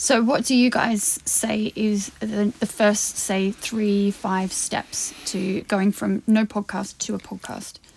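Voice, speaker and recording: A woman's somewhat breathy, medium-pitched voice, very slow and monotone, with flat intonation. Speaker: podcast host. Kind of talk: casual chat. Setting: studio.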